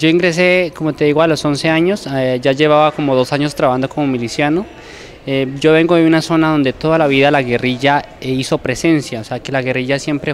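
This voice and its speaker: Under light background noise, a man speaks fairly quickly at a fairly high pitch with fairly even intonation. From Colombia. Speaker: former guerrilla fighter; interviewee. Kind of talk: testimony. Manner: hesitant, frequent fillers. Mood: calm, reflective. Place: hall.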